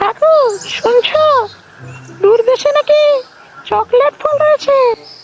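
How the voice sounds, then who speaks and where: This cartoonish character voice is squeaky and extremely high in pitch. It moves at a very slow pace. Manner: eager, excitable.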